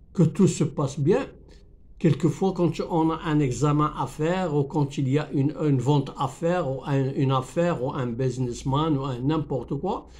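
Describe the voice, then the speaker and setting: A man speaks with a fairly high pitch and a somewhat breathy sound. His intonation stays fairly even. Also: moderate pace. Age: 70s. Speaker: YouTuber teaching French. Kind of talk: tutorial. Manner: halting, many repetitions.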